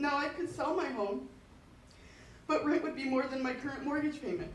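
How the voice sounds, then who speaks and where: Over noticeable background noise, a woman speaks in a high pitch at a moderate pace. Room echo is audible. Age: 50s. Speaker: school district employee, public commenter. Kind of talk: public comment at board meeting. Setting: school board meeting.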